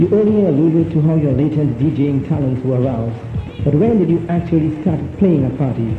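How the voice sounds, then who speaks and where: Music plays in the background as the speaker talks at a fairly quick pace. Loudness stays very even, and pitch varies in an ordinary way. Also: man, fairly high pitch for a man. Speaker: radio presenter. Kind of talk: radio interview.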